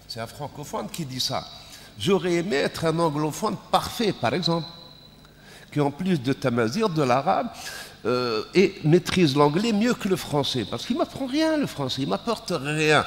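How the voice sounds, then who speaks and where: The man's voice is fairly high in pitch, with lively intonation. His pace is fairly slow. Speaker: panel moderator. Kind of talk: panel discussion.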